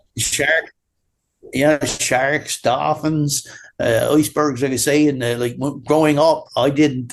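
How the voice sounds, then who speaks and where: Speaking at a moderate pace, a man keeps a fairly even intonation at a fairly high pitch. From Newfoundland, Canada (Bonavista). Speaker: drywall taper. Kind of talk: casual interview chat.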